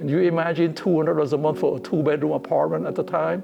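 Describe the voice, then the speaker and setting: Against noticeable background noise, a man speaks with a Cambodian accent. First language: Khmer. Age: 80s+. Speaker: interviewee, community elder. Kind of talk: personal testimony interview.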